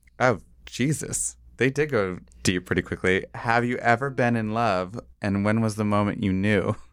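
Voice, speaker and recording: A man with an American accent has a plain, everyday voice at a fairly low pitch. He speaks at a moderate pace with ordinary pitch variation in a very clean recording against a silent background. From small-town Ohio. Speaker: TV production worker. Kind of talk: casual chat. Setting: studio.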